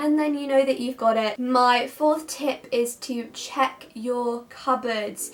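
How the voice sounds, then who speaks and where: A high-pitched woman speaks at a very slow pace in a monotone, flat intonation, with hardly any pauses. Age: young. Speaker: university student; student vlogger. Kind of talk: casual talk to camera. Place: home room.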